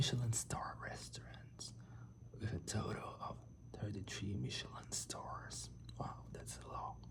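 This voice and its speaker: The delivery moves at a fairly slow pace. Noticeable background noise runs underneath. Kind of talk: ASMR facts reading. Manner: whispered; soft-spoken.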